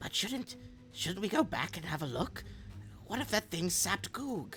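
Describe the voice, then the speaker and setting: Soft-spoken and squeaky, a put-on character voice at middle pitch moves at a moderate pace over clear background noise. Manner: unsure, soft.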